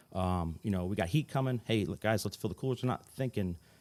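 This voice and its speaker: Very fast speech in a New Jersey accent, with ordinary pitch variation, comes through on a very clean recording with a silent background. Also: man. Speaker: fire chief. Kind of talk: podcast interview. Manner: calm, rarely raises voice.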